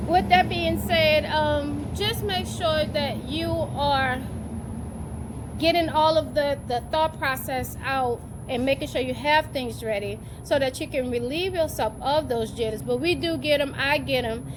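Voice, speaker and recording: A woman talks at a fairly slow pace while noticeable background noise continues. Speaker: teacher vlogger. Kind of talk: casual vlog talk. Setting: at school on a break. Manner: animated.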